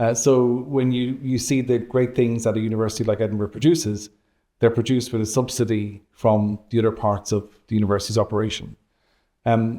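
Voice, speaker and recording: Over a very clean recording with a silent background, a man talks at a fairly quick pace in a dark, mellow tone with fairly even intonation. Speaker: university vice-principal and economics professor. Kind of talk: interview. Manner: hesitant, many fillers.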